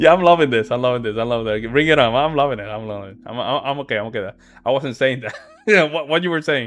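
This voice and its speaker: With a slight Puerto Rican accent, a man speaks very fast at a medium pitch in an animated tone, with ordinary pitch variation and big swings in loudness. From Puerto Rico. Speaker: live-stream debate reactor. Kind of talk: heated debate. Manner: animated, repetitive.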